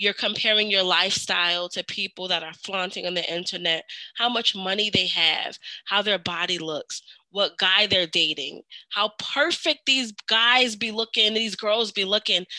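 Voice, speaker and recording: A woman with a bright, sharp tone and ordinary pitch variation. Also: medium pitch for a woman, moderate pace, dry, close sound with no echo. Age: 30s. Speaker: podcast host. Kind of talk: casual chat.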